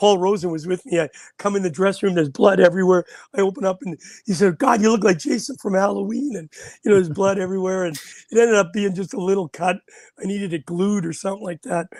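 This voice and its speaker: Talking at a very fast pace in a Canadian accent, a man has a high pitch and ordinary pitch variation, the sound dry and close with no echo. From Canada. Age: 60s. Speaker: former ice hockey player. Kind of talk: casual chat.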